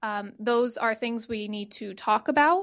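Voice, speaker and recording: Against a quiet background, a woman with an American accent uses an ordinary speaking voice, fairly high in pitch, with ordinary pitch variation at a moderate pace. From Connecticut. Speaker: news producer. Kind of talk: panel talk. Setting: stage with audience.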